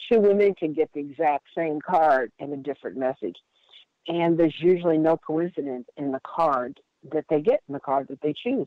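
A woman with an American accent speaks at a moderate pace, her pitch very deep and low, with ordinary pitch variation. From US Midwest (Indiana). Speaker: workshop leader, wellbeing coach. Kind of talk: interview.

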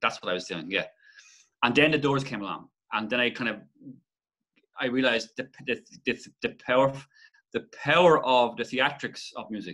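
In a Waterford accent, a man speaks with a bright, sharp tone against a quiet background. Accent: Irish, Waterford. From Ireland. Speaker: musician and songwriter; interview guest. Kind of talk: casual interview chat. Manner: halting, many false starts. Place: home room. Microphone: webcam.

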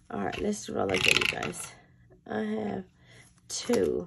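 A woman speaks over noticeable background noise. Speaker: budgeting vlogger. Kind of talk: casual vlog, cash stuffing.

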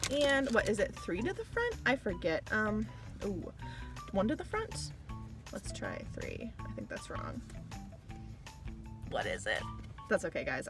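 The speaker goes at a moderate pace with long, frequent pauses while clear music plays in the background. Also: woman, dry sound with no echo. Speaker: card collecting vlogger. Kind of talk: casual vlog chat. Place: car. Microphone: phone near.

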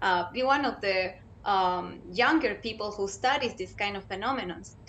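Spoken at a moderate pace with a Spanish accent and ordinary pitch variation. Light background noise sits behind the voice. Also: woman. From Chile. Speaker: graduate scholar and education researcher. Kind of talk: panel discussion. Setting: video call. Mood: cheerful, smiling. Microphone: video call.

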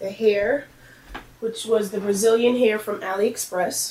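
A woman speaks at a fairly slow pace in a monotone, flat intonation, with audible room echo and light background noise. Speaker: beauty vlogger. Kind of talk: casual vlog update. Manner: hesitant, many fillers. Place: home room. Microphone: camera far.

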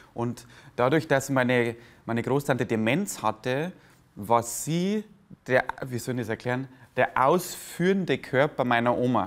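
A man speaks fairly slowly with ordinary pitch variation. His pauses are long and frequent. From Lower Bavaria, Germany; Bavaria, Germany. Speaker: comedian; interviewee, stage comedian. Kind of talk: interview. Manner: halting. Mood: warm, reflective storytelling. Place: cafe. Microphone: lapel.

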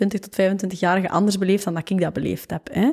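A woman's dark, mellow tone at a moderate pace. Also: quiet background. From Flanders, Waasland (Temse); Flanders, Belgium. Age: 20s. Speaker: fashion entrepreneur and author; podcast guest. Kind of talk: casual interview. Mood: relaxed, reflective. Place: home room. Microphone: studio mic.

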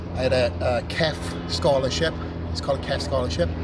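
Loud background noise accompanies speech at a fairly quick pace. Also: man. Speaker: interviewee. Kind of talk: interview answer. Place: garden.

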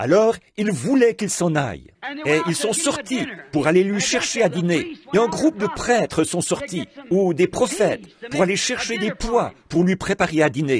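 A man's high voice with very wide pitch swings, at a fairly slow pace. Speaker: preacher. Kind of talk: sermon.

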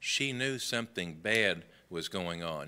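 A man talks with a Southern US accent. His tone is bright and sharp. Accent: Southern American. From US South, Memphis, Tennessee. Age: 60s. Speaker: Sunday school teacher. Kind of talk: Bible lesson. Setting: church classroom. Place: church.

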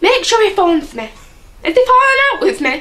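A woman does a squeaky, put-on character voice at an extremely high pitch. She moves at a fairly quick pace with very wide pitch swings. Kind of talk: comic overacting. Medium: comedy sketch. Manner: prickly, defensive.

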